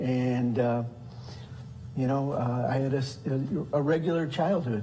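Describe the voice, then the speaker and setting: Fairly slow speech in an American accent, with audible room echo. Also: man. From US Midwest, south side of Chicago. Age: 60s. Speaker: deacon. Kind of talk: testimony. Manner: halting, many fillers.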